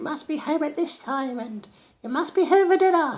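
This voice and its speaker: A put-on character voice is pitched high. It moves at a moderate pace. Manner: strict, bossy.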